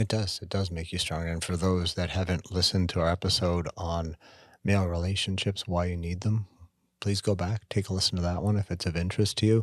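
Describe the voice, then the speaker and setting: A man's very deep, low voice in a monotone, flat delivery with a slight Canadian accent, at a fairly quick pace, dry and close with no echo on a very clean recording with a silent background. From Canada. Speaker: podcast co-host. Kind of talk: casual chat.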